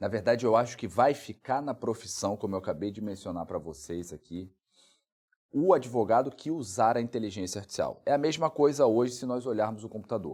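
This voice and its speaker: A man with a normal speaking voice, medium pitch and lively intonation, in a very clean recording with a silent background. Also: fairly quick pace. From Brazil, Rondônia. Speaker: lawyer and legal researcher. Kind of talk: interview.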